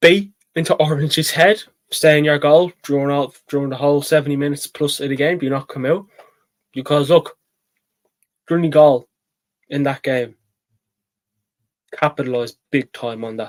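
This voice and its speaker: In a Dublin accent, the speaker leaves long, frequent pauses, the sound dry and close with no echo. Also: man, fairly high pitch for a man, fairly even intonation, moderate pace. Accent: Dublin Irish. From Ireland, Dublin. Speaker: sports channel host, GAA pundit. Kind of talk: solo sports preview talk. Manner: hesitant, many fillers and repeats.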